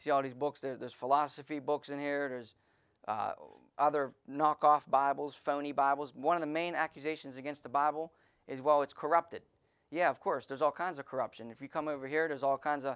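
A man's monotone, flat delivery at a very fast pace against a quiet background. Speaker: pastor preaching. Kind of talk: sermon.

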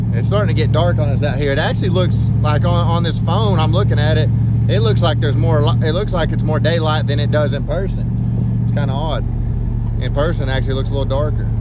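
Over loud background noise, a man speaks at a very fast pace in a dry sound with no echo. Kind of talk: casual vlog chat. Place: car. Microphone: phone near.

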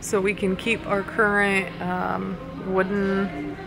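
A woman talks. Behind her, clear music is playing. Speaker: vlogger. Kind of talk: casual vlog chat. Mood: unsure, mildly overwhelmed. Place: shop. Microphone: phone near.

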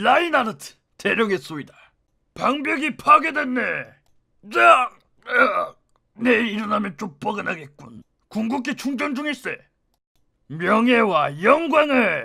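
Using a put-on character voice, a man projects at an extremely high pitch, moving at a fairly slow pace with long, frequent pauses.

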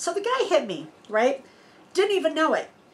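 A woman's pitch swings very widely as she talks at a moderate pace. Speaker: RV vlogger. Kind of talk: casual vlog Q&A storytelling. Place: home room.

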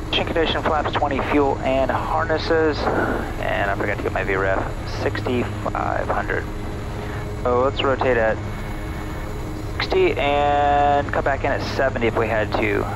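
A man speaks with long, frequent pauses. The sound is dry with no echo, and background noise is noticeable. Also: moderate pace. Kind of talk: pre-takeoff checklist commentary. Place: plane. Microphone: headset.

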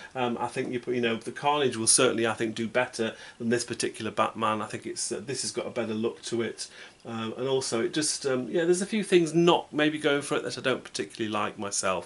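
Speech comes at a very fast pace. Its pitch variation is ordinary. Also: man. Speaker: toy collector reviewer. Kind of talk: casual vlog commentary. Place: home room.

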